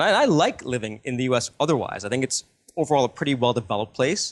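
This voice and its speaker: At a very fast pace, a man with an American accent and a medium pitch talks against a quiet background. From US. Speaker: financial newsletter editor. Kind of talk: interview. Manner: halting.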